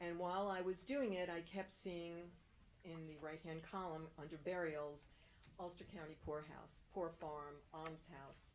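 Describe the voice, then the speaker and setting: A woman with a fairly low pitch speaks at a fairly slow pace and with fairly even intonation, with audible room echo. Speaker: town historian. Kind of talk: presentation.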